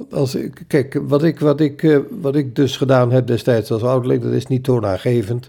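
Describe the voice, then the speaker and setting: The man's voice has a medium pitch and some vocal fry. He speaks at a moderate pace. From Zwolle, Netherlands. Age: 80s. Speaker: retired printing executive and church elder. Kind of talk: casual interview, recounting life story. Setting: home kitchen table with microphone.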